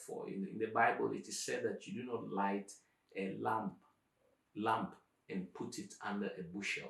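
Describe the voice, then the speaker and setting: A man with an African accent talks at a fairly slow pace. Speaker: professor, YouTube channel host. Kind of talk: conversational interview answers.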